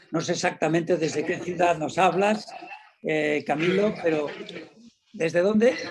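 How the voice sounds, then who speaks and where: A man's high voice, with ordinary pitch variation, moves along at a moderate pace. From Spain. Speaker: panel moderator. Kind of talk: moderating a conference panel.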